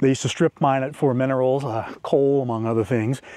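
A man speaks in a dry sound with no echo against a quiet background. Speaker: overland travel vlogger. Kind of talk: casual vlog chat. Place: open country. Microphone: lapel.

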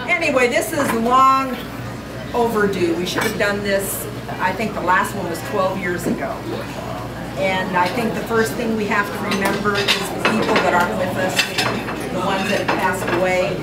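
With loud background noise all around, a woman keeps to a moderate pace. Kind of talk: informal speech to a group. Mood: warm, laughing. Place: hall. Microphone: camera far.

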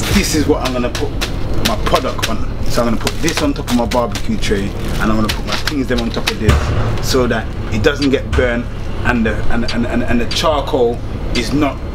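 A man talks at a moderate speed, his pitch varying in an ordinary way while music plays behind him. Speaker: cooking vlogger. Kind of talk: casual vlog chat. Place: train.

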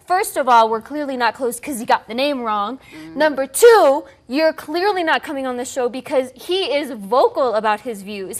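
A high-pitched woman at a moderate pace, with very wide pitch swings and big swings in loudness. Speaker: talk show co-host. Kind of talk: entertainment commentary. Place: studio. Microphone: lapel.

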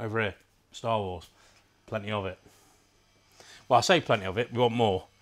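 A man with an unremarkable speaking voice talks at a fairly quick pace. His fairly low pitch shows ordinary variation. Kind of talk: casual shop tour chat. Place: shop. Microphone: lapel.

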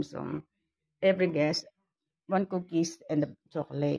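Her tone is dark and mellow. The woman speaks at a fairly slow pace. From Philippines. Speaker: vlogger; home vlogger. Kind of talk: casual vlog. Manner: halting. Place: home room. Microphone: phone near.

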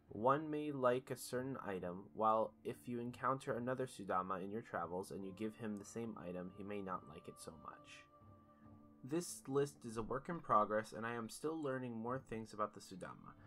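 With music in the background, a man at a medium pitch speaks at a moderate pace with lively intonation and big swings in loudness. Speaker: gaming video creator. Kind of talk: game guide narration.

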